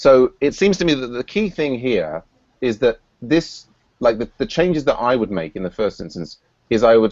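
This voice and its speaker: Speaking at a medium pitch, a man makes very wide pitch swings. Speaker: software project lead hosting a scrum meeting. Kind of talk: online scrum meeting, technical discussion. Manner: fast; halting, many repetitions and fillers.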